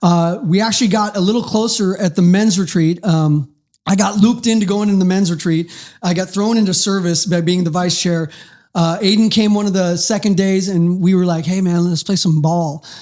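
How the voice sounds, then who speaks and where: A man speaks in a Pacific Northwest accent with a high pitch. His intonation is fairly even and his loudness very even. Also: moderate pace. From Federal Way, Washington, US (from third grade). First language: German and Turkish. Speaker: podcast guest in addiction recovery. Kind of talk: casual interview.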